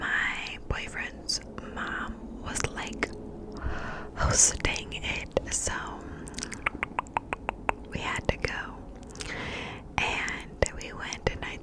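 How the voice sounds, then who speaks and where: A woman's breathy whispering, with long, frequent pauses, big swings in loudness and noticeable background noise. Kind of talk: ASMR whispering. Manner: breathy, whispered, slow.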